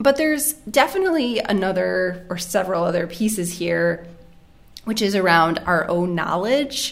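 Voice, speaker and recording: Noticeable background noise sits behind this woman's voice. She speaks at a medium pitch with an American accent. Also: lively intonation, moderate pace. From United States. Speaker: family doctor and medical editor. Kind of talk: casual chat.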